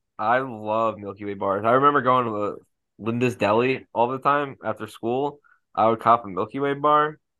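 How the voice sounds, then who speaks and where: Fairly even in intonation, a man talks in an unremarkable speaking voice. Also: medium pitch for a man, moderate pace. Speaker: podcast co-host. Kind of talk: casual chat.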